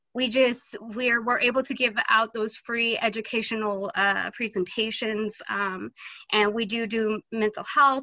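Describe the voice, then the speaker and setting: Against a quiet background, a woman speaks at a fairly slow pace with fairly even intonation, the sound dry with no echo. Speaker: health clinic outreach worker. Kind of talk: community announcement. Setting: video call. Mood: friendly, slightly nervous. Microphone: video call.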